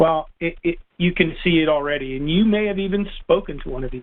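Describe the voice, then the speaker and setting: Speaking with an American accent, a man uses a fairly high pitch with ordinary pitch variation. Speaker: biology professor. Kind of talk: interview conversation. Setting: podcast. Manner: halting, many repetitions.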